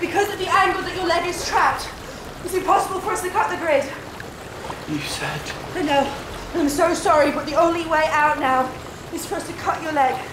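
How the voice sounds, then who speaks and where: Amid noticeable background noise, a woman with an extremely high pitch talks at a fairly quick pace with fairly even intonation. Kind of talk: drama dialogue. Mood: urgent, distressed. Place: waterside.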